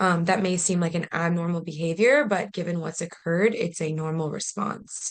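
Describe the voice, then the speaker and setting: A woman talks with a plain, everyday voice at a moderate pace. Her pitch is medium, with ordinary variation. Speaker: policy advocate presenting a training webinar. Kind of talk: webinar presentation. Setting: online video meeting.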